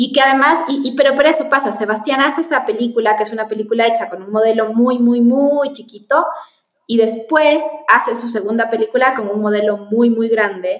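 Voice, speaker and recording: An unremarkable speaking voice, this woman talks at a fairly quick pace with a fairly high pitch and ordinary pitch variation. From Chile. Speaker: film producer. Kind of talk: interview.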